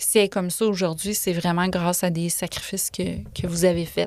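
A woman with a plain, everyday voice, medium in pitch, at a moderate pace with fairly even intonation, in a very clean recording with a silent background. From Quebec City area, Quebec. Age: 40s. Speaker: author. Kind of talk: casual chat. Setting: studio.

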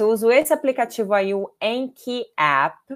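A woman speaks with a Brazilian accent. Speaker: language teacher. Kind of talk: live online class. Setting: livestream. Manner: animated.

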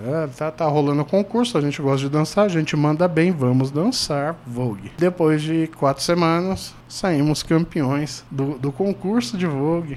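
Against noticeable background noise, a man speaks slowly-ish, at a fairly slow pace and a fairly high pitch. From Brazil, mostly São Paulo, Brasília and Paraná. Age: 40s. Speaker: podcast host. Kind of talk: casual chat.

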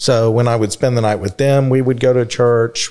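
A man speaks with an American accent. His intonation is monotone and flat. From Texas, Dallas. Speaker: recovering alcoholic guest. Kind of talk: personal testimony.

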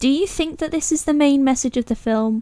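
A woman's dark, mellow tone at a fairly quick pace. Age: 20s. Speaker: podcast host. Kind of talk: casual chat.

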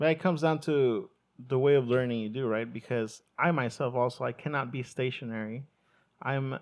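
A man with a Spanish accent speaks at a medium pitch and a moderate pace, his pitch varying in an ordinary way. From Mexico, moved to US at eleven. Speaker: podcast host, hospitality worker. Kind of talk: casual chat.

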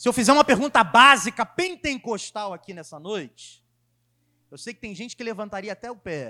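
A man projects a raised, high-pitched voice with lively intonation, heard as a dry, close sound with no echo. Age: 20s. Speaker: preacher. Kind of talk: sermon.

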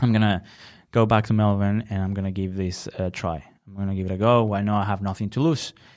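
A man with a Spanish accent, fairly quick in pace and fairly even in intonation, on a very clean recording with a silent background. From Venezuela, Valencia. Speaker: designer and podcast co-host. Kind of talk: casual interview chat.

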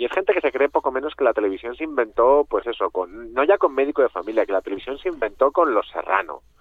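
A man talks at a very fast pace. His fairly high pitch moves with lively intonation. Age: 40s. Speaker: author. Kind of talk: radio interview.

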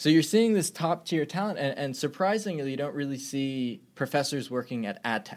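A man's plain, everyday voice, fairly high in pitch with lively intonation, at a moderate pace with hardly any pauses, in a very clean recording with a silent background. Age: 20s. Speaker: startup founder and CEO. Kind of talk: interview.

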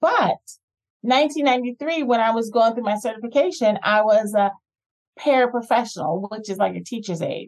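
A woman with an American accent speaks at a moderate pace, her pitch fairly high with ordinary variation. She has a plain, everyday voice. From New Jersey. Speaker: educator. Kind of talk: interview. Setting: remote call.

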